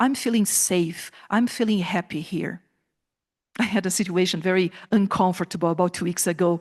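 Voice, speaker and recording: A woman speaks at a moderate pace in a medium pitch with ordinary pitch variation, the background quiet. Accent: Brazilian Portuguese. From southern Brazil. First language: Portuguese. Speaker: professor. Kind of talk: conference talk. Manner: animated.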